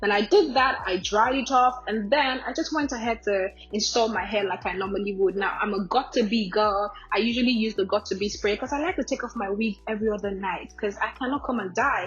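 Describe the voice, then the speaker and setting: With hardly any pauses, a woman talks at a fairly quick pace and fairly high pitch with ordinary pitch variation against noticeable background noise. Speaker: beauty vlogger. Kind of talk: tutorial voiceover. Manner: casual, chatty.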